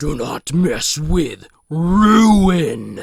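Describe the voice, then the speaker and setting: A man's put-on character voice at a high pitch. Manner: sinister, menacing.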